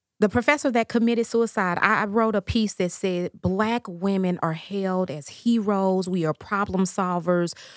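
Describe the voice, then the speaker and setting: A woman's ordinary speaking voice at a medium pitch and moderate pace, with ordinary pitch variation, hardly any pauses, and a very clean recording with a silent background. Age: 40s. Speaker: licensed professional counselor. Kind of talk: casual interview.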